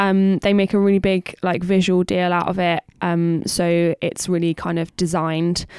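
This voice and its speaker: A woman with a Bristol accent speaks at a medium pitch and a moderate pace. The sound is dry and close with no echo. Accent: Bristolian English. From Bristol, England. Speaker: podcast co-host, marketer. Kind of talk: casual chat.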